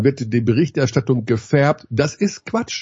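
The speaker talks at a moderate pace with a somewhat breathy voice and lively intonation. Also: man. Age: 50s. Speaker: basketball commentator. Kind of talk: casual chat.

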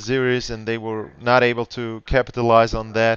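A man at medium pitch speaks with a German accent. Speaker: podcast host. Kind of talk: interview. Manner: halting.

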